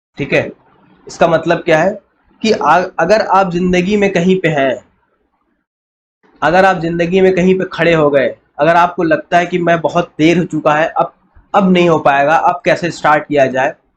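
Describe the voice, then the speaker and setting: A man with a high-pitched voice, at a fairly slow pace and very even loudness. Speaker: physics teacher. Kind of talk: lecture.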